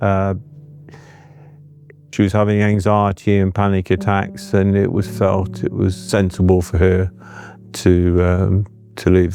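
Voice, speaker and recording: Music plays behind a man with a fairly low pitch. He speaks at a fairly slow pace in a monotone, flat intonation. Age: 70s. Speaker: family carer. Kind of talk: personal testimony interview. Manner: halting, with many fillers.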